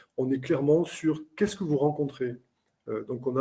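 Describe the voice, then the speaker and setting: A man with a dark, mellow tone, fairly high pitch and a somewhat breathy quality. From southern France, Carcassonne. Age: 50s. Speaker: airline captain and trainer. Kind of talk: webinar interview. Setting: online webinar.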